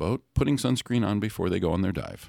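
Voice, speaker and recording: In a very clean recording with a silent background, a man with a fairly low pitch and vocal fry talks with lively intonation, the sound dry and close with no echo. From Hawaii. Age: 50s. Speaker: reef-safe sunscreen advocate. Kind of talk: casual interview.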